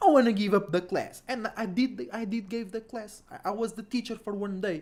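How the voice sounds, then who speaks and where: At a moderate pace, a man with a non-native accent speaks in a high pitch and an animated tone. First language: not English. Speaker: astrology livestreamer. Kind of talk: casual livestream talk. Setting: livestream, home. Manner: animated, repetitive.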